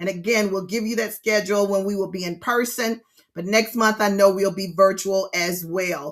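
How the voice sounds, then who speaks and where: A bright, sharp tone with ordinary pitch variation and an animated delivery. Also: woman. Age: 60s. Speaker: grief counselor and instructor. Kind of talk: online grief workshop lecture. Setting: virtual session streamed to YouTube. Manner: animated, repetitive.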